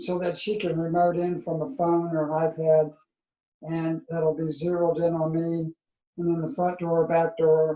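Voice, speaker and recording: A man's high-pitched, monotone, flat delivery at a fairly slow pace. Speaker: person with ALS. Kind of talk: casual chat. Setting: video call. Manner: soft-spoken; halting.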